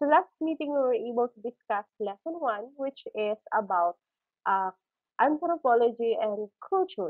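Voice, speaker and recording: Against a quiet background, a woman talks at a moderate pace in a high pitch. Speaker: teacher. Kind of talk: lecture. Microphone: webcam.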